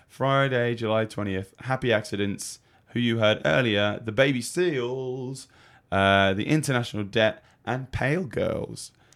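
With an English accent, a man speaks at a fairly slow pace, his pitch varying in an ordinary way. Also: medium pitch for a man. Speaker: radio co-host and gigging singer. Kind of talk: casual chat. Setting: radio studio. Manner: jokey, laughs often.

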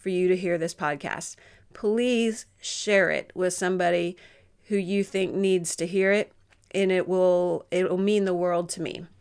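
Monotone and flat, a woman speaks at a medium pitch and a fairly slow pace. The recording is very clean, with a silent background. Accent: Southern US. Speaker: podcast host. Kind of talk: interview.

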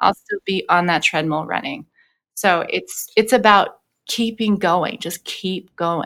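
A woman with an American accent has a normal speaking voice at a medium pitch, with ordinary pitch variation and a fairly slow pace, on a dry, close recording with no echo. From Los Angeles. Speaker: vocal coach and singer. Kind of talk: interview conversation. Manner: frequent filler words.

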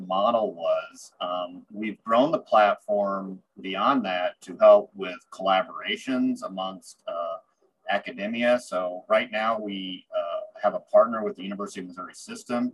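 In a US Midwestern accent, a man speaks at a fairly slow pace with big swings in loudness. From central Illinois, US Midwest. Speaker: university technology transfer director. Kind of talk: interview.

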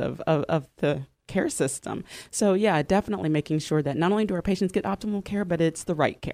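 A woman with a normal speaking voice talks at a fairly quick pace in a fairly low pitch with ordinary pitch variation, her sound dry and close with no echo on a very clean recording with a silent background. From moved around: Louisiana, Cincinnati, Dallas, Chicago. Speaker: registered nurse. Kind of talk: radio interview. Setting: radio studio.

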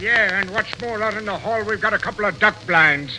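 A man's put-on, gruff character voice, high-pitched, raised and projected, at a fairly quick pace over light background noise. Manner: gruff, tough-guy.

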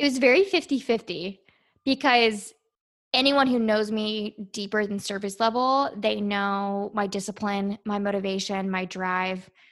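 Recorded very cleanly against a silent background, a woman with an unremarkable speaking voice and an American accent talks at a fairly slow pace, with medium pitch and ordinary pitch variation. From Virginia, US. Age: 20s. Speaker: naval officer and beauty pageant contestant. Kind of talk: interview.

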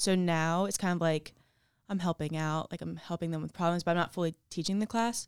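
A woman speaks in a plain, everyday voice at a fairly low pitch with fairly even intonation. The sound is dry and close with no echo, on a very clean recording with a silent background. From New Jersey, Ocean City. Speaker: college field hockey player. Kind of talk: casual interview.

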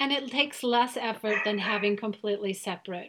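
A woman speaks at a fairly quick pace. Noticeable background noise runs behind her. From Germany. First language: German. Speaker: podcast host. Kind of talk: interview.

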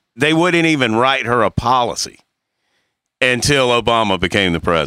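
Recorded very cleanly with a silent background and a dry, close sound with no echo, a man speaks at a moderate pace in a bright, sharp tone with vocal fry. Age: 50s. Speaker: podcast host. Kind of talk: casual chat.

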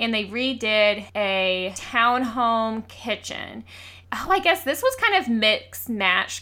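A woman's bright, sharp tone with lively intonation and a Southern US accent. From US South, Georgia. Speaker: podcast co-host. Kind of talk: casual chat.

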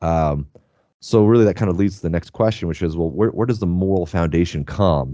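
An American accent at a fairly quick pace, with ordinary pitch variation. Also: man. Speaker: podcast host. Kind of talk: casual interview chat.

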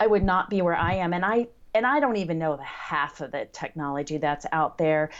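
A woman talks in a plain, everyday voice, fairly low in pitch and fairly quick in pace. Her intonation is lively, and the background is quiet. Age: 50s. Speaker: blind blogger and podcaster. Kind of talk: interview.

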